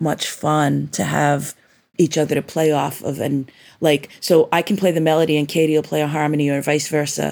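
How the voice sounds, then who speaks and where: A woman speaks with an American accent at a moderate pace. Her very deep, low pitch carries a dark, mellow tone. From New York, Long Island (Rockaway Beach). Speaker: musician. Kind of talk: interview. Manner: halting, many fillers.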